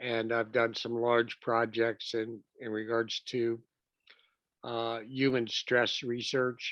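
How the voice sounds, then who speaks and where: The voice belongs to a man. His pitch sits in the medium range. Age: 70s. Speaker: cognitive scientist. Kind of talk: interview.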